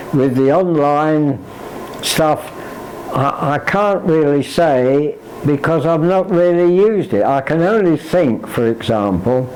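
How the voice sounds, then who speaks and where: Amid noticeable background noise, a man speaks at a fairly slow pace with a fairly high pitch. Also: lively intonation, very even loudness. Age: 80s+. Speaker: computer learner. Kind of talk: interview answer. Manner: hesitant.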